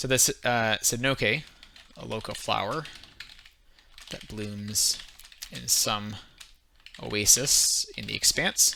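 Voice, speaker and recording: With a strong Canadian accent, a man speaks at a very slow pace with long, frequent pauses, a fairly low pitch and ordinary pitch variation, over noticeable background noise. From Canada. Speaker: streamer leading worldbuilding session. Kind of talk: casual live stream chat. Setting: live stream. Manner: hesitant, many fillers.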